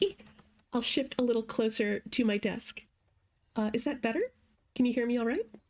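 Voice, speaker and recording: Soft-spoken and fairly high-pitched, a woman talks at a fairly quick pace with very even loudness, ordinary pitch variation and long, frequent pauses. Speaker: streamer. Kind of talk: gameplay livestream commentary.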